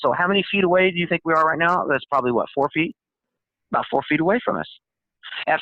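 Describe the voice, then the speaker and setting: Pitched high, a man speaks in an animated tone. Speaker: paranormal experience witness. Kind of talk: testimony. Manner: fast.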